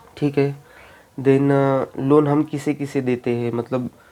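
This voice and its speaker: A man speaks in a dark, mellow tone with flat, monotone intonation. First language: Marathi (speaking Hindi). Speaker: YouTuber, bank exam aspirant. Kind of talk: casual vlog talk. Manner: halting, many fillers.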